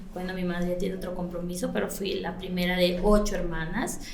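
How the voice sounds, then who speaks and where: Noticeable background noise runs under a woman's voice. The room adds audible echo. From Ecuador, Latacunga (highlands). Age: 40s. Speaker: salon and spa owner. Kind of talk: podcast interview. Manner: hesitant, many fillers.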